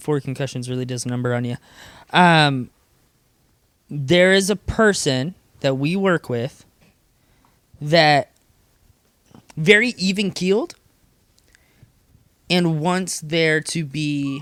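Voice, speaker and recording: Long pauses come often, and the speech itself is very slow. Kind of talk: casual chat. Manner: loud.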